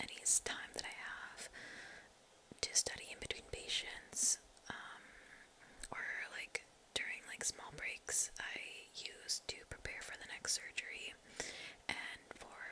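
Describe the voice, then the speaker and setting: A woman whispers with big swings in loudness and long, frequent pauses over noticeable background noise. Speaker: medical trainee in surgical rotation. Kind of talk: ASMR whispered life update, casual talk to camera. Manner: whispered, soft-spoken.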